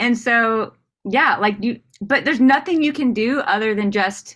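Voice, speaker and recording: A woman with an American accent speaks at a fairly slow pace, her pitch fairly high. Her tone is animated, with ordinary pitch variation. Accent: Southern, thick when nervous on stage. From US South. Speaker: comedian. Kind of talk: casual interview chat.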